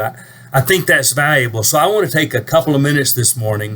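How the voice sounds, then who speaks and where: A normal speaking voice, its pitch variation ordinary. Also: man. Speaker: preacher. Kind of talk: casual talk to camera.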